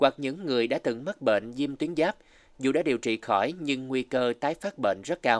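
A man talks in a plain, everyday voice at a fairly quick pace, his pitch medium with ordinary variation. The sound is dry and close with no echo, and the background is quiet. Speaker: radio host. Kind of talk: scripted narration. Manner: formal.

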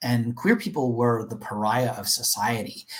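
A somewhat breathy male voice at a moderate pace. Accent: Canadian. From Canada, Toronto. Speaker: corporate diversity leader. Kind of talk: interview.

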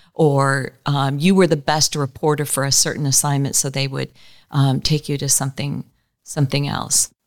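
On a very clean recording with a silent background, a woman speaks at a moderate pace with an American accent. Her very deep, low pitch carries a monotone, flat intonation. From US West Coast, greater Los Angeles area. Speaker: communications director and former TV reporter and anchor. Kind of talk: interview.

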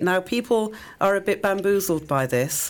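A woman's lively intonation at a fairly slow pace, with an English accent. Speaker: public health educator and cancer survivor. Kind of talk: radio interview. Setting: radio studio.

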